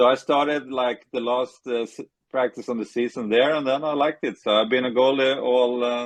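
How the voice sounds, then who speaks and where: In a Swedish accent, a man speaks at a moderate pace with monotone, flat intonation. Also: medium pitch for a man. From Sweden, Stockholm area. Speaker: retired ice hockey goalie. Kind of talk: interview. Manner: halting.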